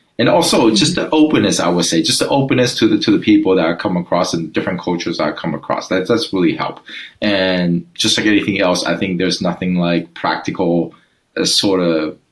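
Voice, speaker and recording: A man with a very deep, low voice talks at a very fast pace. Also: ordinary pitch variation. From Taiwan, moved to Southern California at thirteen. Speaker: sales and business leader. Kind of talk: interview. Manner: halting, many fillers and restarts.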